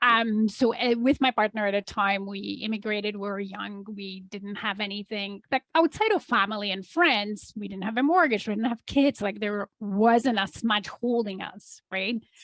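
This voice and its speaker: With a Polish accent, a woman speaks at a moderate pace with hardly any pauses. Her medium-pitched voice shows ordinary pitch variation and big swings in loudness. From Poland. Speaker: entrepreneur. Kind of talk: interview.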